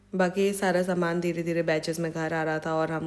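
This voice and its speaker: Over noticeable background noise, a woman talks at a fairly low pitch and moderate pace in a monotone, flat intonation. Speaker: vlogger. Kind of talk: vlog narration. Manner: casual, code-switching Hindi-English.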